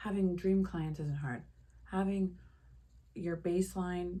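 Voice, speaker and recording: A woman with a fairly low pitch and a dark, mellow tone sounds somewhat breathy, keeping her intonation fairly even. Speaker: lifestyle vlogger. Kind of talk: casual monologue to camera. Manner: slow.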